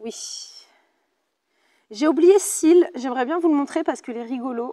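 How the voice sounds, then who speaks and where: A woman talks in a high pitch with a dark, mellow tone. Her intonation is lively and her loudness swings widely. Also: moderate pace. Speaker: pilates instructor. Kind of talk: fitness class instruction. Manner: casual, chatty.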